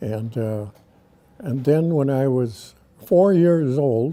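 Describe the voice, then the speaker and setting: A man speaks at a very slow pace in a dark, mellow tone. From Wisconsin, US Midwest. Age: 90s. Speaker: local elder, army veteran. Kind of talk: oral history interview.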